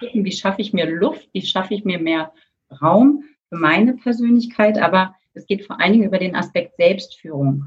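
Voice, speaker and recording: A woman's somewhat breathy voice at a medium pitch and moderate pace, with lively intonation and big swings in loudness. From Germany, Berlin. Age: 50s. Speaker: coach and former corporate lawyer. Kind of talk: podcast interview.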